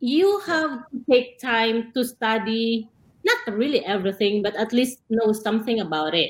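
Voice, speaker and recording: A woman talks at a moderate pace in a plain, everyday voice, fairly high-pitched with lively intonation. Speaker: nurse. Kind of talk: panel discussion.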